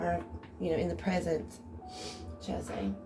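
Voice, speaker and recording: Noticeable background noise is present throughout. A woman talks with audible room echo. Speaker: tarot reader. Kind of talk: tarot reading. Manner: casual.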